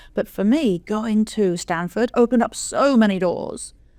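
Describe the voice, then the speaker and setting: In a very clean recording with a silent background, a woman with an English accent speaks with a dark, mellow tone, a fairly high pitch and ordinary pitch variation. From England. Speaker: venture capital investor. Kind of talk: podcast interview.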